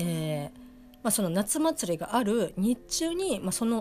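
The voice moves at a fairly slow pace with very wide pitch swings. It sounds somewhat breathy. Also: woman. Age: 30s. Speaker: anime review podcaster. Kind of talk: solo casual review monologue. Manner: halting, many fillers.

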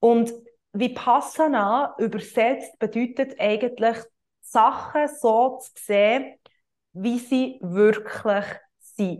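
A woman with a fairly high pitch speaks very slowly, her intonation fairly even but her loudness swinging widely. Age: 20s. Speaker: yoga teacher and coach, podcast host. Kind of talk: solo podcast monologue, explanatory. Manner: hesitant, many filler sounds.

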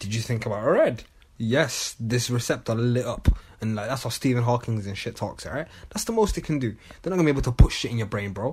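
A man talks at a very fast pace in a somewhat breathy voice. His pitch is medium and varies in an ordinary way. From Manchester, England. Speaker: podcast co-host. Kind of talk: casual chat.

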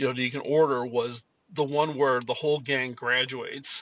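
In an ordinary speaking voice, a man talks at a moderate pace with a medium pitch. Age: 50s. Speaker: podcast host. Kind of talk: casual monologue.

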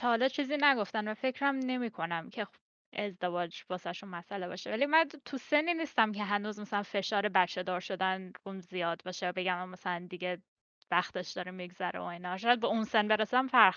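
Over a quiet background, a woman with an unremarkable speaking voice talks at a fairly quick pace and medium pitch, with lively intonation. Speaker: podcast guest. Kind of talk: casual chat.

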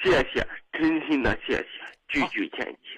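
A man is speaking. His pace is fairly slow. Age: 30s. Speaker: caller, small business owner. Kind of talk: call-in confession. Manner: halting, repetitive.

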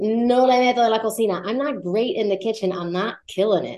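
A woman talks at a fairly quick pace with a fairly high pitch. Hers is an ordinary speaking voice. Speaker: Spanish teacher. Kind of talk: language lesson.

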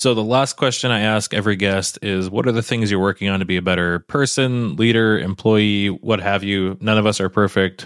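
A man with a plain, everyday voice and a fairly low pitch talks at a fairly quick pace with fairly even intonation and hardly any pauses. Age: 30s. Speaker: podcast host, machinist. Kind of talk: casual interview chat. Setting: video call.

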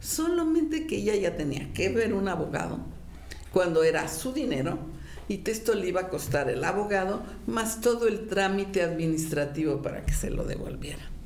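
A woman with a Mexican accent speaks at a medium pitch, her voice making very wide pitch swings. Audible room echo and noticeable background noise fill the recording. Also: moderate pace. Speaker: retired judge. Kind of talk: commentary to camera. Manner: conversational.

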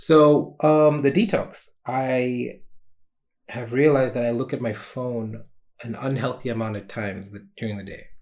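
A man with a plain, everyday voice speaks at a fairly slow pace in a medium pitch, with ordinary pitch variation and big swings in loudness. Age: 20s. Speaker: solo podcaster and small streamer. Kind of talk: casual solo vlog monologue. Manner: casual with frequent fillers.

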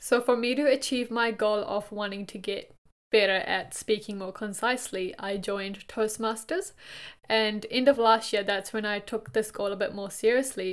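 Fairly high in pitch, a woman speaks with a non-native accent at a moderate pace and with fairly even intonation. The recording is very clean, with a silent background. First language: not English. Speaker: podcast co-host, graduate employee. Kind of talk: casual chat.

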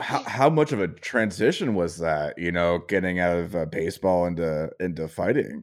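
A man speaks at a moderate pace with hardly any pauses, in a very deep, low voice. His pitch varies in an ordinary way, and the recording is very clean with a silent background. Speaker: podcast host. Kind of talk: casual interview.

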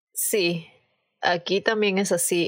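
The woman's pitch is medium. She talks very slowly. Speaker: immigrant guest. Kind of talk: casual chat.

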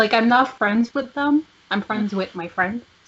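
A woman with a French accent, at a moderate pace. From Quebec. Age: 20s. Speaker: podcast co-host. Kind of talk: casual chat.

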